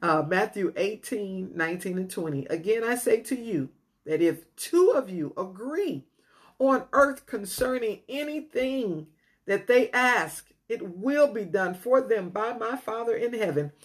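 A woman speaks at a very slow pace in a fairly high pitch. Her voice moves through very wide pitch swings over a quiet background. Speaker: podcast host and teacher. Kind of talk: teaching and prayer in a devotional podcast. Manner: fervent, emotional, praying with intensity; halting, with many fillers.

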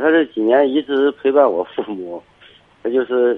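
A man with a plain, everyday voice speaks at a moderate pace, his intonation lively. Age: 50s. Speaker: caller. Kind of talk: phone-in chat. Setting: phone call.

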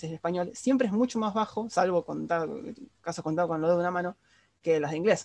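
A man speaks in a high voice with ordinary pitch variation. The background is quiet. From Argentina. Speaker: podcast host. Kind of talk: casual chat.

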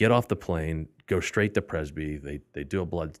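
A man with an American accent and a very deep, low voice with vocal fry, at a fairly quick pace on a very clean recording with a silent background. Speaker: metals trading executive. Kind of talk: casual chat.

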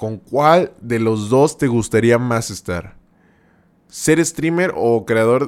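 A man speaks very slowly, his intonation lively. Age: 20s. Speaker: streamer and podcast host. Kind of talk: casual live-stream chat. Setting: live stream. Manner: animated, repetitive and halting.

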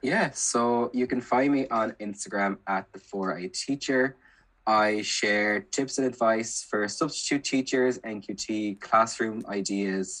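Speaking very slowly at a medium pitch, a man talks with an Irish accent. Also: ordinary pitch variation. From Ireland, County Kilkenny. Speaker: primary school teacher. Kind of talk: casual chat.

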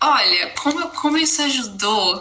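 A woman talks at a fairly slow pace while noticeable background noise runs underneath. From Brazil, Campinas area (São Paulo interior). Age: 20s. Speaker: university student, podcast guest. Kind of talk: interview conversation.

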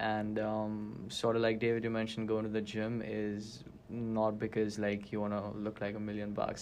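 At a moderate pace, a man with a Gujarati accent speaks at medium pitch. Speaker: student government member. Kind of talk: casual chat.

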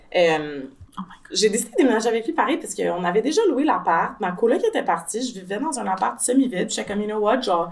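A woman in a Quebec accent at a very fast pace, with very wide pitch swings and noticeable background noise. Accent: Québécois French. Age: 30s. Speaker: translator. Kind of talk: casual chat.

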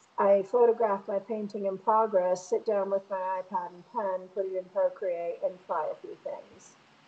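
A woman with an American accent has an ordinary speaking voice, medium pitch and fairly even intonation. She keeps a moderate pace with hardly any pauses and big swings in loudness. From Connecticut, outside Hartford (Bristol). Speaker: painter. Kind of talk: casual interview. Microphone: connection dropped out at times.

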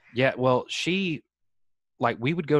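In a very clean recording with a silent background and a dry, close sound with no echo, a man with a Southern US accent talks at a moderate pace with ordinary pitch variation. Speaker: podcast host. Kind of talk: casual chat.

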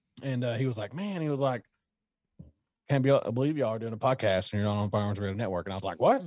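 A man talks very fast in a Southern US accent. His medium-pitched voice has lively intonation. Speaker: gun channel creator. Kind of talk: casual chat.

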